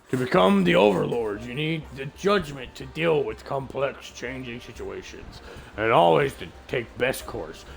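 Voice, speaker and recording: A man puts on a raspy character voice at medium pitch, with very wide pitch swings and big swings in loudness. Background noise is clearly audible. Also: moderate pace. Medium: game stream. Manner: earnest, insistent.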